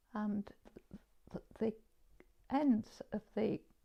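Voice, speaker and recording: A woman speaks with a Yorkshire accent. Her voice is fairly high in pitch with a dark, mellow tone. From northern England, Leeds (Armley). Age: 70s. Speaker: artist. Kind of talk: interview. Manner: halting.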